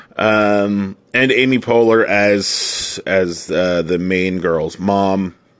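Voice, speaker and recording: Against noticeable background noise, a man talks at a very slow pace and fairly low pitch with very even loudness and hardly any pauses. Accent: American. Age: 40s. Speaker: movie review podcaster. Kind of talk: casual solo movie review. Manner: halting, many fillers.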